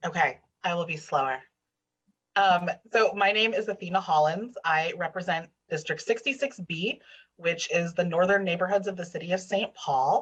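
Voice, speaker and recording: Speech comes at a moderate pace with ordinary pitch variation. The delivery is somewhat breathy. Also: woman, medium pitch for a woman. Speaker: state legislator. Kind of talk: online panel discussion.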